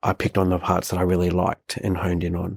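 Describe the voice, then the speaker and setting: With an Australian accent and a very deep, low pitch, a man speaks in a dry, close sound with no echo. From Australia, southeast Queensland. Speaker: CEO and media personality. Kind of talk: podcast interview answer.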